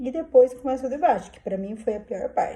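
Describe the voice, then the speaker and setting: A woman speaks at a moderate pace. Her tone is dark and mellow and somewhat breathy. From southern Brazil, Curitiba. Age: 50s. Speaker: vlogger. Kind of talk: personal vlog, casual monologue. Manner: informal, hesitant with fillers.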